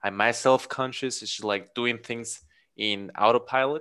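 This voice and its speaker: In a Spanish accent, a man speaks at a medium pitch with fairly even intonation and a bright, sharp tone. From Mexico. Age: 30s. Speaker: podcast guest. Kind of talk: casual chat. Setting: video call.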